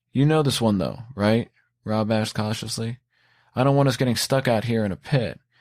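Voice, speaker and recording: A man speaks at a moderate pace and medium pitch with fairly even intonation. The recording is very clean, with a silent background. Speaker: author reading own story. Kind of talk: horror audiobook narration.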